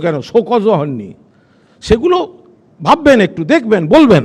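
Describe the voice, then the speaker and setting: A man's high-pitched voice. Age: 50s. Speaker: political spokesperson. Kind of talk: heated debate. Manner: animated.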